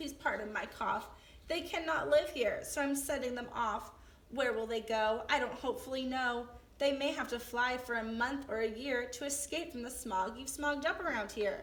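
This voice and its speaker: A woman uses a croaky, high-pitched put-on character voice at a moderate pace. Light background noise is present. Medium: read story. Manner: bossy, scolding.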